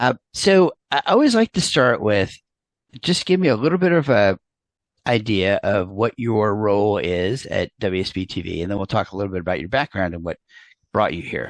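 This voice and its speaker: This man speaks with an American accent in a normal speaking voice, fairly low in pitch, at a moderate pace and with lively intonation. The sound is dry and close with no echo, over a quiet background. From New York. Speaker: interview host, PR professional. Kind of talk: interview.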